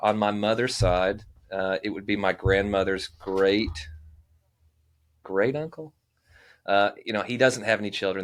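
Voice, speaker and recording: On a very clean recording with a silent background, a man with a Southern US accent speaks at a fairly low pitch and a moderate pace. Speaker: living historian. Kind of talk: casual chat.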